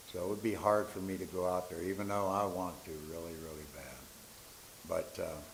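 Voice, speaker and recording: In a room with audible echo, a man with a very deep, low pitch speaks with fairly even intonation. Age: 70s. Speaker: public commenter, Marine Corps veteran. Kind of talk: public comment at school board meeting.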